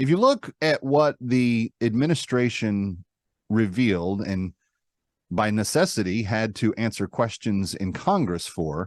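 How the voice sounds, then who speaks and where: In a dry, close sound with no echo, a man with an American accent talks fairly slowly at a medium pitch, in an unremarkable speaking voice. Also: lively intonation, quiet background. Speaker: radio talk show host. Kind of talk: comedic talk show monologue. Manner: casual, conversational.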